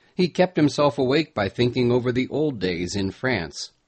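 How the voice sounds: Lively intonation in a natural reading voice.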